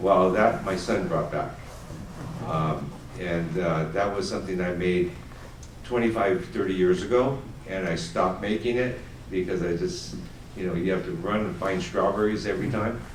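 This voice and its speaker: A man with an American accent speaks at a very deep, low pitch with ordinary pitch variation, at a moderate pace with long, frequent pauses. Audible room echo and noticeable background noise are present. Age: 60s. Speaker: family business owner, confectioner. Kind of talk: audience Q&A panel. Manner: hesitant, many fillers.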